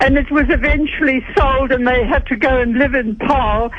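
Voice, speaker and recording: Noticeable noise in the background accompanies talking at a moderate speed. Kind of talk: radio call-in anecdote. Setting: phone line.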